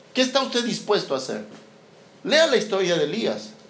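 The man's pitch swings very widely. Audible room echo surrounds his voice. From Peru. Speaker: missionary pastor. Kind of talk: sermon. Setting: church service with congregation.

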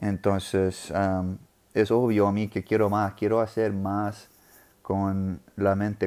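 With an English accent, a man speaks at a very slow pace in a fairly low, flat, monotone voice on a very clean recording with a silent background. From US South, New Orleans. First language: English (speaking Spanish). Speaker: podcast host. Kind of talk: casual monologue. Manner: halting, many repetitions.

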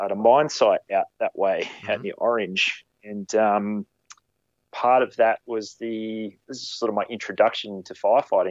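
Speaking at a moderate pace in an Australian accent, a man makes big swings in loudness. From Queensland, Australia. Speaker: firefighter and photographer. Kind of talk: casual interview chat.

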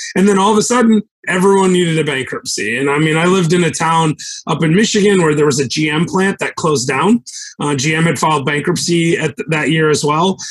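Here a man speaks in a plain, everyday voice at a fairly quick pace. His pitch is fairly high, with ordinary pitch variation. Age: 40s. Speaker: real estate investor, former attorney. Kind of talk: casual interview chat.

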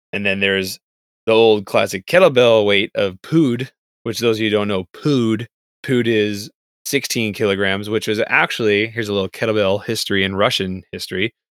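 A man with a plain, everyday voice and fairly low pitch speaks at a moderate pace with fairly even intonation, the sound dry and close with no echo. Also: very clean recording, silent background. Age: 30s. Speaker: podcast co-host. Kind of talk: casual chat.

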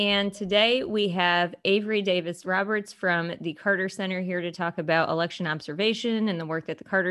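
Very clean and set against a silent background, this recording has a woman with an American accent and a normal speaking voice. She speaks at a moderate pace, fairly low in pitch, with fairly even intonation. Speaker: co-host, county clerk. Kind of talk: podcast interview questions.

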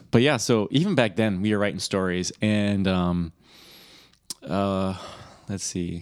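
Using ordinary pitch variation, a man with a Michigan accent and fairly low pitch talks at a fairly slow pace with long, frequent pauses. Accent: Michigan, general northern US. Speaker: podcast co-host, brother. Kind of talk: casual chat.

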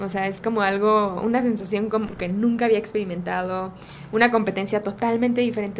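A woman's fairly quick, flat, monotone delivery with audible room echo. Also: medium pitch for a woman. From Mexico, Guadalajara. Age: 30s. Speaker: Olympic rhythmic gymnast. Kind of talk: casual interview.

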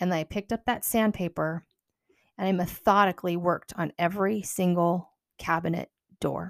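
A woman with an ordinary speaking voice, fairly low in pitch, talks at a moderate pace in a fairly even intonation, in a very clean recording with a silent background and a dry, close sound with no echo. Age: 40s. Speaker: podcast host and counselor. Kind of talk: casual monologue.

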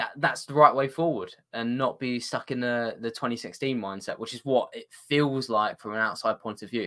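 In a British accent, a man speaks at medium pitch with a bright, sharp tone, ordinary pitch variation, big swings in loudness, a moderate pace and hardly any pauses, on a very clean recording with a silent background. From Britain. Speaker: football journalist. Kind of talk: casual chat.

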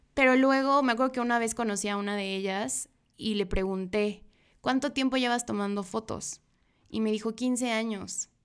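A woman with a normal speaking voice at a moderate pace and ordinary pitch variation, in a very clean recording with a silent background. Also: fairly high pitch for a woman. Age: 20s. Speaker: photographer. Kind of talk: interview. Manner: casual, with many fillers.

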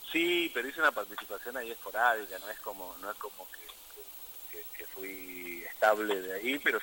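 In a plain, everyday voice, a man of medium pitch talks at a moderate pace with lively intonation and hardly any pauses. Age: 40s. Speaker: musician. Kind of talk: interview.

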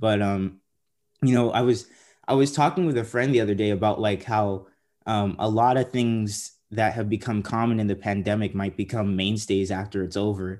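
With an American accent and an unremarkable speaking voice, a man with a fairly low pitch talks at a moderate pace with ordinary pitch variation on a very clean recording with a silent background. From San Diego, California. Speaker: podcast host, TV story producer. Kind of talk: casual interview.

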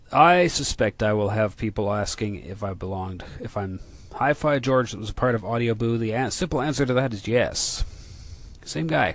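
This man has an unremarkable speaking voice, a medium pitch and a lively intonation, and he keeps a moderate speed. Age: 40s. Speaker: podcaster, hi-fi audio enthusiast. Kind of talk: casual monologue.

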